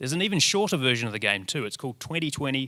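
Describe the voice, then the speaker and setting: The intonation is lively and the tone bright and sharp. The recording is very clean, with a silent background. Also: man. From New Zealand. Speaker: presenter, radio reporter. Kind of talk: short presentation talk to an audience.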